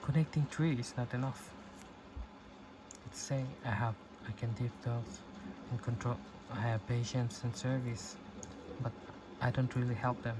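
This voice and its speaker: Over noticeable background noise, a man at a medium pitch talks at a moderate pace with fairly even intonation and long, frequent pauses. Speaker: self-help talker. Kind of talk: reflective talk. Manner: soft-spoken; halting.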